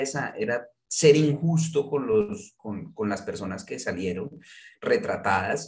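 A man talks at a very slow pace. His voice is somewhat breathy. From Colombia, Manizales. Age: 40s. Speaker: journalist and novelist. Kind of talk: interview conversation. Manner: halting, many repetitions.

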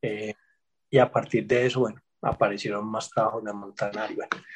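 A man talks in a somewhat breathy way. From Colombia, Medellín (Antioquia). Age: 40s. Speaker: history professor. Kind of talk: interview.

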